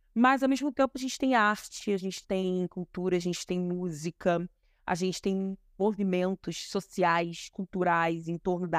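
Recorded very cleanly against a silent background, a woman talks at a moderate pace in a normal speaking voice, her pitch medium with ordinary variation. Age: 30s. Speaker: historian and activist. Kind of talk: interview.

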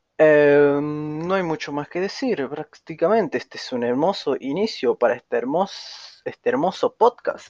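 Someone with a Rioplatense accent talks at a fairly slow pace with lively intonation, barely pausing, in a dry, close recording with no echo. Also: man, high pitch for a man. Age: young. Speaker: podcaster. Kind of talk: casual monologue.

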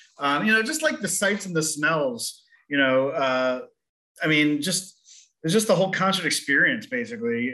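With lively intonation and a bright, sharp tone, a man speaks at a moderate pace in a fairly high voice. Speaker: theater executive director. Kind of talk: interview. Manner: hesitant, many fillers.

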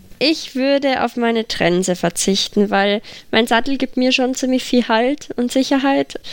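Here is a woman with a plain, everyday voice pitched fairly high. Her pitch varies in an ordinary way. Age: 20s. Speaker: para-equestrian rider. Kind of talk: casual interview.

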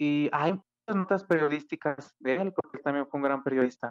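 In a dry, close sound with no echo, a man uses a normal speaking voice at a fairly high pitch and a moderate pace. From Mexico, Aguascalientes. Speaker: classical guitarist and composer. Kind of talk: interview.

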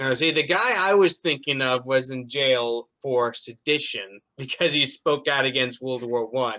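His tone is bright and sharp. The man speaks at a fairly slow pace and medium pitch, with ordinary pitch variation. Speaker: podcast host. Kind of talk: interview.

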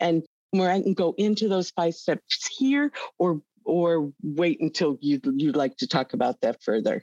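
Fairly low in pitch, a woman speaks slowly with a dark, mellow tone and very wide pitch swings. Her loudness stays very even, and the sound is dry and close with no echo. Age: 60s. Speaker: accounting executive in crypto data firm. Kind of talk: interview.

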